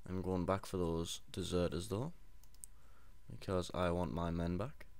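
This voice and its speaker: A man at a moderate pace, with audible room echo. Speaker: gaming video creator. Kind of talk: let's play commentary. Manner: monotone.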